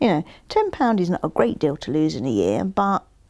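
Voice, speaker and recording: At a moderate speed, a woman talks in an English accent. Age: 60s. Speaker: interviewee sharing personal story. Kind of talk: casual interview conversation.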